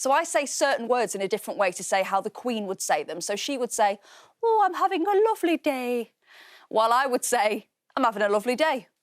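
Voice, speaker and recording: A woman with a Mancunian accent talks at a fairly quick pace and a high pitch, with very wide pitch swings and a dry, close sound with no echo. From Manchester, England. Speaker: children's TV presenter. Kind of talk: educational TV presenting.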